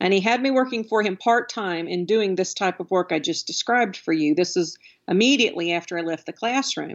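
A woman's medium-pitched voice with an American accent, ordinary pitch variation and a fairly quick pace. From Alabama. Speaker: education consultant. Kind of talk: interview.

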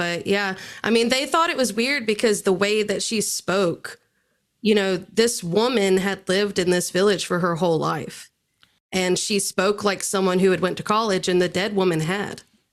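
A woman uses a plain, everyday voice at medium pitch and moderate pace, with ordinary pitch variation. Her loudness stays very even in a very clean recording with a silent background. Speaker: podcast guest. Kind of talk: casual chat.

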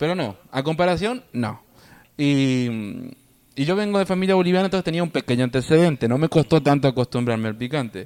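This man has an ordinary speaking voice, pitched fairly high with lively intonation. He talks at a fairly quick pace. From Argentina. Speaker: podcast guest, immigrant. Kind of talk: casual chat.

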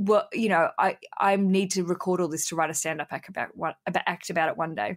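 Very fast speech in an Australian accent. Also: woman, medium pitch for a woman. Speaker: podcaster and comedian. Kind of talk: casual interview. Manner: animated; loud.

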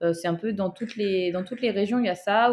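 A woman with an unremarkable speaking voice talks at a moderate pace with medium pitch and fairly even intonation, recorded very cleanly against a silent background. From southern France, Toulouse. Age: 20s. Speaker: track cyclist, Olympic athlete. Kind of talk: interview conversation.

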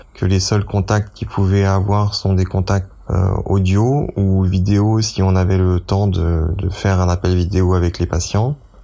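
Fairly slow, fairly low-pitched speech from a man with fairly even intonation, music in the background. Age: 30s. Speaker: dentist volunteering in hospital. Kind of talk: testimony. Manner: halting.

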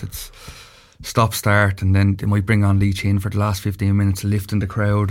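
A somewhat breathy voice in a Dublin accent moves along at a fairly quick pace. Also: man. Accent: Dublin Irish. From Dublin, Ireland. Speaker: former county hurler and pundit. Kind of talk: casual sports chat. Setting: studio.

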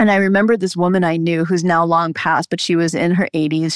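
This woman's fairly low voice is a plain, everyday voice, delivered at a moderate pace. The recording is very clean, with a silent background and a dry, close sound with no echo. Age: 50s. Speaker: physician, midwife and herbalist. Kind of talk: interview on women's health.

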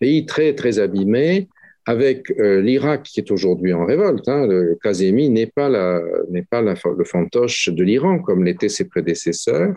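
A man of medium pitch speaks at a fairly slow pace with very wide pitch swings and very even loudness. His tone is dark and mellow, over a quiet background. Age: 60s. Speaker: professor, Middle East specialist. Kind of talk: interview. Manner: halting, many hesitations.

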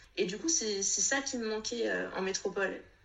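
A woman talks at a moderate pace as noticeable background noise plays underneath. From Réunion. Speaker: Instagram creator. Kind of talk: testimony. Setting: video call. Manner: halting.

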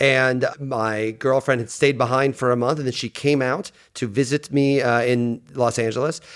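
Hardly pausing, a man speaks in a plain, everyday voice at a medium pitch and moderate pace with fairly even intonation. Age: 40s. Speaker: sports writer and podcast co-host. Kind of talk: casual interview chat.

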